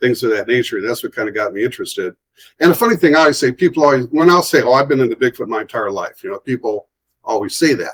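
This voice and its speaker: A medium-pitched man with an American accent, very fast and lively, in a dry, close sound with no echo. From Ohio, US. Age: 60s. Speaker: artist and author. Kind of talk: casual interview.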